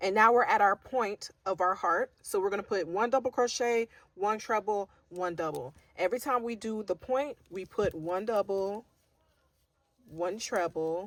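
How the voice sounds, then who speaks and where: A woman with an ordinary speaking voice at a medium pitch, moderate pace, ordinary pitch variation, and a dry, close sound with no echo. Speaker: crochet teacher. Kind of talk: tutorial.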